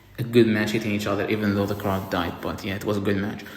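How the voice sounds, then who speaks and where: Noticeable background noise and audible room echo fill the recording. A man speaks with a non-native accent. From outside the US. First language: not English. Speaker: wrestling reviewer. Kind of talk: casual review monologue. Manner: halting, repeats words. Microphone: poor audio, mic charger broken.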